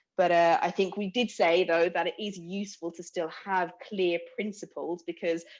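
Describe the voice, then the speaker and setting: With a London accent, a woman speaks at a medium pitch and a moderate pace, her intonation monotone and flat, with hardly any pauses. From London, England. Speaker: workshop participant. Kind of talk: group discussion summary.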